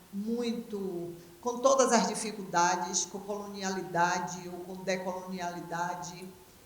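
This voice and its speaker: A woman speaks very slowly at a medium pitch with fairly even intonation, and the recording carries audible room echo and noticeable background noise. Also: big swings in loudness. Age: 70s. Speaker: dance professor, panel moderator. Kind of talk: panel closing remarks.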